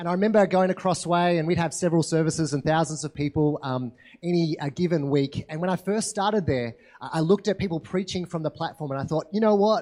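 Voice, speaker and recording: A man with an Australian accent talks at a very fast pace. His voice is high-pitched with a dark, mellow tone. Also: ordinary pitch variation. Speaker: pastor. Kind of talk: sermon. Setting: church.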